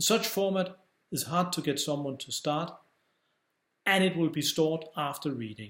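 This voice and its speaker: Recorded very cleanly against a silent background, a man with a high pitch speaks with ordinary pitch variation. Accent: non-native. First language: Danish. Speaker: publisher and author. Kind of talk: scripted narration.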